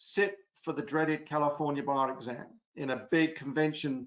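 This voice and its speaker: A man with an American accent speaks in a fairly high voice. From England. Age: 60s. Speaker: former prosecutor, lecturer. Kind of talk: webinar presentation. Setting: online webinar.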